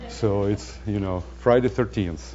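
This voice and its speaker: A man speaks with a non-native accent. Noticeable background noise runs behind him. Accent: foreign accent, joking about it. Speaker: data center scientist. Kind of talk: lecture. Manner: halting, many fillers.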